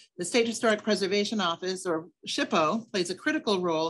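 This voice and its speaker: Speaking at a fairly quick pace over a quiet background, a woman uses an unremarkable speaking voice with medium pitch and ordinary pitch variation. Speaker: state archaeologist. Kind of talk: slide presentation lecture. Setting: webinar video call.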